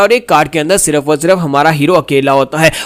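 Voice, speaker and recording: Noticeable background noise behind a man speaking at a moderate speed. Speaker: voice-over narrator. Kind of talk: manhwa recap narration. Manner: casual, conversational storytelling.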